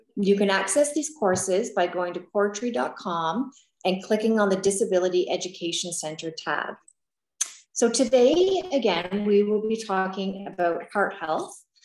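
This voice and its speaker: The speech moves at a moderate pace with ordinary pitch variation. Audible room echo surrounds it. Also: woman. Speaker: peer program coordinator, webinar host. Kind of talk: webinar moderation. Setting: video call. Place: home room. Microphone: video call.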